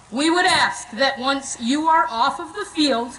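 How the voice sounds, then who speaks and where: A woman uses a raised, projected voice with lively intonation at a fairly slow pace. Noticeable background noise and audible room echo fill the recording. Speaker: school administrator. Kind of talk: ceremony announcements. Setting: outdoor stadium, PA system. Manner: formal.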